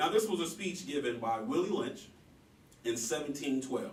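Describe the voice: Medium-pitched male voice at a moderate pace, with audible room echo. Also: lively intonation.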